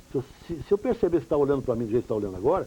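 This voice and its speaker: Very wide pitch swings at a very fast pace come through over noticeable background noise. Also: man. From Pirangi, São Paulo state, Brazil. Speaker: journalist and radio broadcaster. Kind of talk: interview answer.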